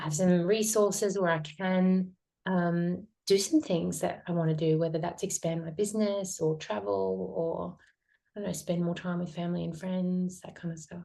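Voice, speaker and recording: A woman's fairly low-pitched, dark and mellow voice at a moderate pace, with fairly even intonation. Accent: Australian. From Australia, north Queensland (Townsville). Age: 40s. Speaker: metabolic therapy practitioner. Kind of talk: interview conversation.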